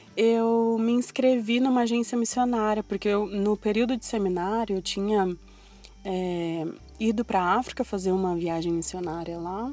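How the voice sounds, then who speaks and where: With a dark, mellow tone, a woman speaks at a moderate pace and medium pitch with ordinary pitch variation. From Brazil, São Paulo coast. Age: 20s. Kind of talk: personal testimony in podcast. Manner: casual, conversational.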